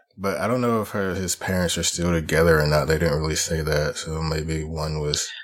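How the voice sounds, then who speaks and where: A man's very deep, low voice at a fairly quick pace with hardly any pauses and fairly even intonation, plus audible room echo. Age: 30s. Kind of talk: casual chat.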